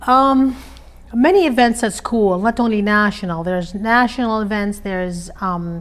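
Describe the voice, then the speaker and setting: Speaking in an Arabic accent, a woman uses a fairly high pitch and ordinary pitch variation at a moderate pace. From Iraq. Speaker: interviewee, immigrant mother. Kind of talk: interview conversation. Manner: hesitant, many fillers.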